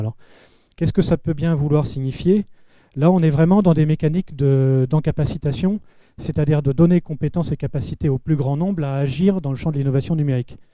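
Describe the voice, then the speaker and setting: Spoken very fast, the voice carries a dark, mellow tone. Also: man. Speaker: panel speaker on public digital innovation. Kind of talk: round-table talk. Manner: hesitant with filler words.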